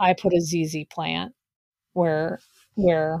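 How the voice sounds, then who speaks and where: A woman's very deep, low-pitched voice in a dry, close sound with no echo. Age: 40s. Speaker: podcast co-host and business coach. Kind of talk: casual chat.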